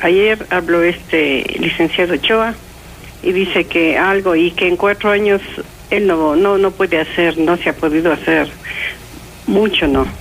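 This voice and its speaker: A woman talks at a fairly slow pace with a medium pitch. Noticeable background noise is present. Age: 60s. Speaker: caller. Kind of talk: radio call-in. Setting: phone call.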